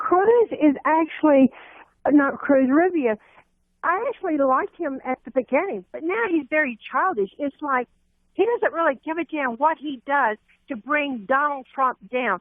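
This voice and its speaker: This woman has a high pitch. Her voice makes very wide pitch swings. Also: moderate pace. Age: 60s. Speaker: radio caller. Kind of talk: phone-in call.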